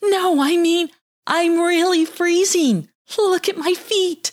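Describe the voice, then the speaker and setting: A put-on character voice sounds female and whiny, with an extremely high pitch. The pace is fairly slow. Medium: read story. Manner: bossy, whiny.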